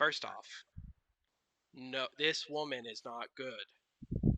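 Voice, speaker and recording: Using a put-on character voice, a man speaks at a very slow pace and medium pitch, sounding raspy and gruff. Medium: actual play. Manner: gruff, curt, dismissive.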